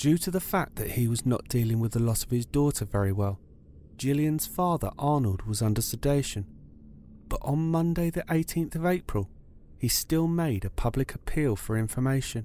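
A man with a British accent speaks in a serious, dark, mellow tone with a fairly high pitch. His intonation is lively, his pace moderate and his loudness very even. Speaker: true crime podcaster. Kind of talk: true-crime narration, scripted and solemn. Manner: measured, serious, storytelling pace.

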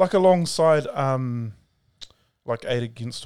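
Heard on a very clean recording with a silent background, a man with a New Zealand accent speaks with lively intonation. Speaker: podcast host, minister. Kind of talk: casual chat.

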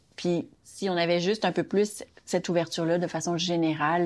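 A normal speaking voice from a woman, fairly low in pitch, at a moderate pace against a quiet background. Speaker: daughter of immigrant. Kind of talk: interview.

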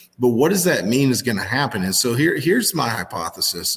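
A man's medium-pitched voice with vocal fry, very wide pitch swings and a fairly quick pace. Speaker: agricultural market analyst. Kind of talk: casual interview.

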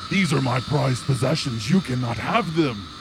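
A man's booming, put-on character voice at medium pitch and moderate pace over loud background noise. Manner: menacing, cursing.

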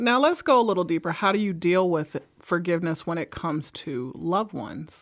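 Heard on a very clean recording with a silent background, a woman with an American accent uses an ordinary speaking voice, fairly low in pitch, with lively intonation at a fairly quick pace. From Brooklyn, New York. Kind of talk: casual chat about faith. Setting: studio.

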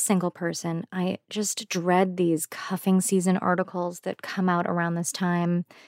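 Recorded very cleanly against a silent background, a woman with a plain, everyday voice speaks at a fairly slow pace and fairly low pitch, the sound dry and close with no echo. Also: hardly any pauses. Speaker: podcast host. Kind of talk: scripted intro and moderated panel discussion.

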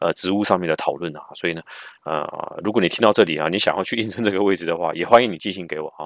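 A man's very deep, low voice at a very fast pace, with ordinary pitch variation, on a very clean recording with a silent background and a dry, close sound with no echo. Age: middle-aged. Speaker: podcast host and marketing manager. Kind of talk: casual solo podcast Q&A. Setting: at family home in southern Taiwan. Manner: frequent filler particles.

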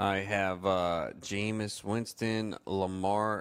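A man's very deep, low voice at a very slow pace. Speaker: fantasy sports radio host. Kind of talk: sports talk radio show.

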